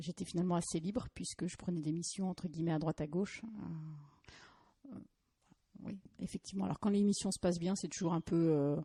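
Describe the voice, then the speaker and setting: A woman with a fairly low pitch, a somewhat breathy, dark, mellow tone, ordinary pitch variation and a fairly quick pace, in a dry, close sound with no echo. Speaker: lawyer. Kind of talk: podcast interview. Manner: hesitant, searching for words.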